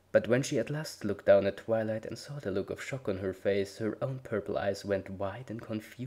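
Reading aloud in a natural voice

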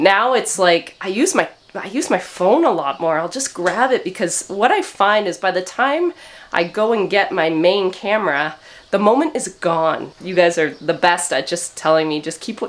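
Speaking at a moderate pace, a woman uses lively intonation. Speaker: sheep farmer vlogger. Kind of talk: casual vlog chat. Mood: grateful, cheerful. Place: farm machine. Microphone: phone near.

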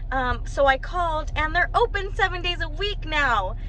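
With a raised, projected voice and very wide pitch swings, a woman speaks at a moderate pace in a dry sound with no echo over light background noise. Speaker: vlogger. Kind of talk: casual vlog chat. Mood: disappointed, then excited. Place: car. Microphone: phone near.

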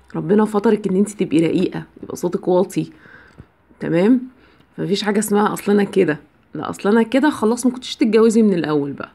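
In an Egyptian accent, a woman speaks at a fairly quick pace in a dark, mellow tone with vocal fry and lively intonation. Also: medium pitch for a woman. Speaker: biology teacher giving marriage advice. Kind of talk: advice monologue to camera. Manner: conversational, with filler sounds.

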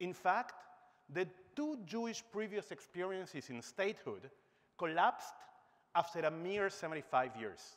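A man's lively intonation at a fairly slow pace. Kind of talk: conference speech. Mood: humorous then serious. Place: stage. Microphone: lapel.

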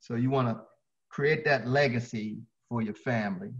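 Over a quiet background, a man with an American accent sounds somewhat breathy. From Baltimore, Maryland. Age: 60s. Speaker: fitness trainer. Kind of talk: interview. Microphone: video call.

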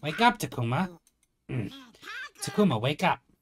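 A man performs a put-on character voice at a fairly high pitch. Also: moderate pace. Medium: game stream. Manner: loyal, eager.

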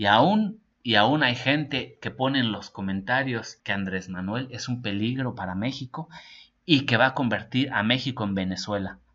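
A man's animated voice at medium pitch and a moderate pace, with ordinary pitch variation. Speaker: political news commentator. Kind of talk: news reading with personal commentary. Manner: informal, animated.

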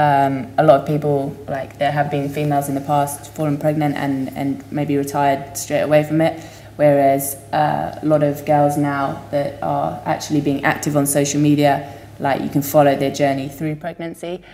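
A woman's very deep, low voice at a moderate pace with monotone, flat intonation. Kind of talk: interview answer. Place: home room.

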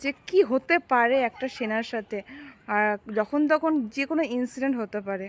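Soft-spoken and high-pitched, a woman talks with lively intonation. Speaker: vlogger. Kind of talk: casual vlog talk to camera. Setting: outdoors.

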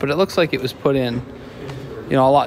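Over light background noise, a man talks with fairly even intonation. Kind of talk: casual vlog narration. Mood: admiring, relaxed. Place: church. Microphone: phone near.

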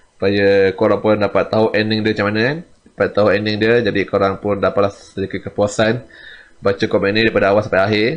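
A man's fairly low-pitched voice at a very fast pace, with fairly even intonation. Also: very even loudness. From Malaysia. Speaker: comic artist and YouTuber; comic artist, YouTuber. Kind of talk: casual vlog talk to viewers. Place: home room. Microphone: studio mic.

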